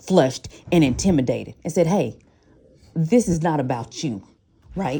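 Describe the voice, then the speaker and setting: Her voice has a dark, mellow tone and a very deep, low pitch, and this woman's intonation is lively. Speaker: parent. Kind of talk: heated debate. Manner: fast; forceful.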